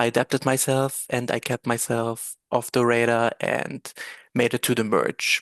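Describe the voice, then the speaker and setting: Against a quiet background, a man speaks at a medium pitch and fairly slow pace in a German accent, with monotone, flat intonation. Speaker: reality game contestant. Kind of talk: prepared speech read from script. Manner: halting.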